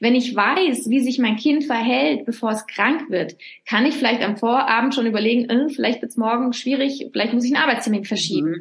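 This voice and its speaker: Noticeable background noise surrounds the recording. A woman speaks at a fairly quick pace in a high pitch. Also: ordinary pitch variation. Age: 40s. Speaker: author. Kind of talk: interview. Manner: hesitant with fillers.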